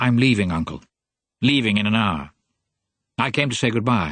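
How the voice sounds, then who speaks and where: Using a put-on character voice, a man speaks with a nasal sound, medium pitch, lively intonation and a moderate pace. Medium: read story. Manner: youthful zest, teasing.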